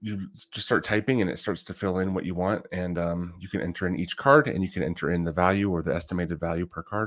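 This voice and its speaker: On a very clean recording with a silent background, a man mumbles at a very fast pace in a very deep, low pitch. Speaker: trading card collector livestreamer. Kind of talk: casual livestream talk. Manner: mumbling.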